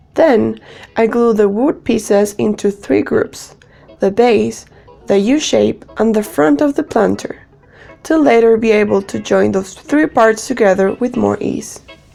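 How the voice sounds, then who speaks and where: The speech comes at a fairly slow pace. Noticeable background noise runs underneath it. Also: woman. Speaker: DIY woodworking creator. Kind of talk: tutorial voice-over narration.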